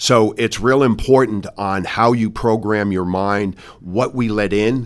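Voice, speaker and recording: A man with an American accent has a normal speaking voice, fairly low in pitch with fairly even intonation. The recording is very clean with a silent background. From New York, Westchester County. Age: 60s. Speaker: business executive. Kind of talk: interview. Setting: in person.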